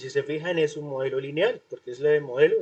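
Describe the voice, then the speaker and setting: The man talks at a fairly quick pace. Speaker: university lecturer. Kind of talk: online class lecture. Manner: fast.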